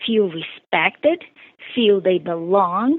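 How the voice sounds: A slow pace and lively intonation with a Brazilian accent. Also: woman.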